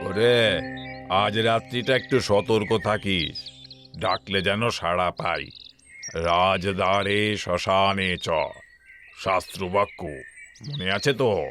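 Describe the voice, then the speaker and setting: Using a put-on character voice, a man sounds gruff, with a fairly low pitch, ordinary pitch variation and a fairly slow pace. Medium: audio drama. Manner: gruff, boastful.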